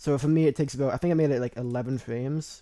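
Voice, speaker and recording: A man speaks here. His tone is dark and mellow. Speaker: video editing tutorial creator. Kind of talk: tutorial. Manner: halting, many fillers and restarts; casual.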